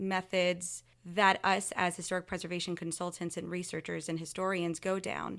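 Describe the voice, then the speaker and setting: A woman with an American accent and medium pitch talks at a moderate pace in a plain, everyday voice. The recording is very clean, with a silent background. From US Gulf Coast. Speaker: historic preservation consultant. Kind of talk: interview.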